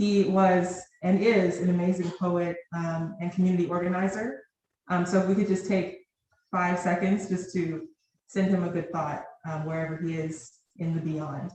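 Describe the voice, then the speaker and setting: A woman speaks with an American accent at a fairly low pitch. Her intonation is monotone and flat, and her pace is moderate. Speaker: poet. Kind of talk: poetry reading. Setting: stage with audience. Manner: loud.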